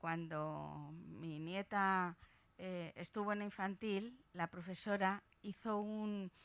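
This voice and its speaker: Woman's voice at a medium pitch with ordinary pitch variation. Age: 70s. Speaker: audience member. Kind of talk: audience question.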